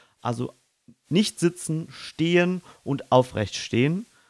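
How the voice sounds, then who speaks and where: Lively intonation marks a man's very slow speech. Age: young. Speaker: podcast co-host, amateur stage actor. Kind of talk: casual chat; voice tips tutorial. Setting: in-person studio, facing co-host. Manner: clearly articulated.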